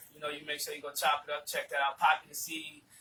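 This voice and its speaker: A man with an American accent and a fairly high pitch. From South Carolina, Georgetown area (low country). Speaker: rapper. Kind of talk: casual interview chat.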